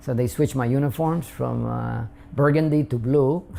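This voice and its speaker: A man's medium-pitched voice with a Spanish accent and fairly even intonation, amid noticeable background noise. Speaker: immigrant interviewee. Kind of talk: interview. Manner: halting, many fillers.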